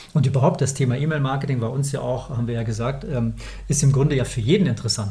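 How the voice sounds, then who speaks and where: Speaking at a very fast pace, a man uses a medium pitch. Room echo is audible. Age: 40s. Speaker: company founder, email marketing podcast co-host. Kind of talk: casual business chat.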